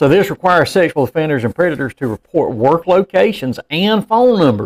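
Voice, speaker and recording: A man with a Southern US accent talks at a fairly quick pace in a high pitch with very wide pitch swings, in a dry, close sound with no echo. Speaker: podcast co-host, former law enforcement officer. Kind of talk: casual chat. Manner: fast.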